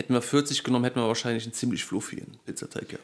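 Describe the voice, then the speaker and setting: A man rattles along at a very fast pace in a medium pitch. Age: 20s. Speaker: podcast co-host. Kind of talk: casual chat.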